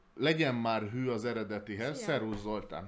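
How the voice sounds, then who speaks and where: A man talks at a fairly slow pace. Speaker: board game podcast host. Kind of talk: casual chat.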